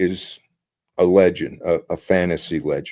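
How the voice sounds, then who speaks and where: This voice belongs to a man. He talks very slowly. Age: 60s. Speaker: author and retired psychologist. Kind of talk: interview. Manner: halting.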